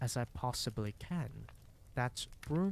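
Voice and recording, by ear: The text is read aloud in a natural voice, the intonation lively.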